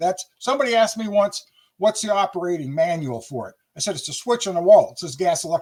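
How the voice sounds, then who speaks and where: At a very fast pace, a man with a high pitch talks with lively intonation. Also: big swings in loudness. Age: 70s. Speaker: inventor and retired heating contractor. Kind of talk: interview.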